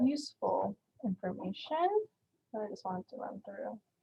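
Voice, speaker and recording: A woman at a fairly high pitch, somewhat breathy, at a moderate pace. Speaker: community college event host presenting on French culture. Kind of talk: informal presentation. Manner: casual, filler-heavy.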